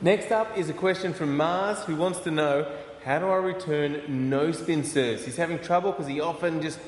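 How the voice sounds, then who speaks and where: Noticeable background noise sits behind a man speaking at a moderate pace, his pitch fairly high with ordinary variation. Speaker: podcast host. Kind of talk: casual interview show presenting.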